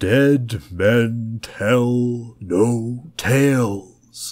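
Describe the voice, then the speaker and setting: In a put-on character voice, a man speaks at a medium pitch. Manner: spooky.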